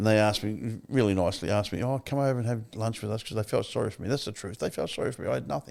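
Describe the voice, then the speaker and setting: Very fast speech from a man with an Australian accent and a fairly low pitch. His pitch varies in an ordinary way on a very clean recording with a silent background. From Victoria, Australia. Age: 70s. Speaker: recovery advocate and author. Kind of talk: interview testimony.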